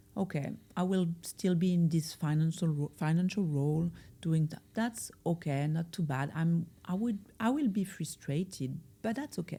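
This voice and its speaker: A woman with a French accent speaks in a somewhat breathy, dark, mellow voice of fairly low pitch. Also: ordinary pitch variation, moderate pace. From France. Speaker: life coach. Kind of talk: podcast interview. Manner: hesitant, with fillers.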